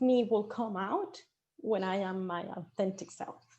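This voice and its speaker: A woman talks at a fairly slow pace with a Venezuelan accent. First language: Spanish. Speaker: marketing director. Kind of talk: panel discussion. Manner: animated.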